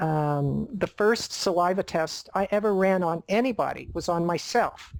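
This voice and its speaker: A normal speaking voice from a woman, medium in pitch, fairly slow, with ordinary pitch variation on a very clean recording with a silent background. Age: 60s. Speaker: nutritionist. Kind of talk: interview.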